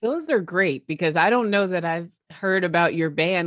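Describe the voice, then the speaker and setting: An unremarkable speaking voice from a woman, fairly low in pitch with ordinary pitch variation, at a fairly quick pace in a dry, close sound with no echo and a quiet background. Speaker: podcast host. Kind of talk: interview.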